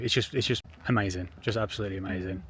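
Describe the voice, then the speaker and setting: A somewhat breathy man with an English accent talks at a moderate pace. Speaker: travel vlogger. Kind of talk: casual vlog chat. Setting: outdoors.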